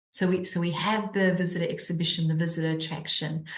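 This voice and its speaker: A woman with a South African accent sounds somewhat breathy. Her intonation is monotone and flat, with audible room echo. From South Africa, Cape Town. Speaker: charity mission director. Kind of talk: interview. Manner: repeats words often, halting.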